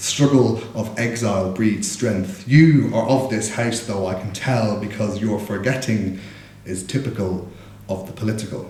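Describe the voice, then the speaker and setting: With a Dublin accent, a man speaks at a moderate pace in a fairly low voice with fairly even intonation, over audible room echo and noticeable background noise. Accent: Dublin Irish. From Ireland, Dublin. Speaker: spoken word poet. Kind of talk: casual stage introduction; poetry performance.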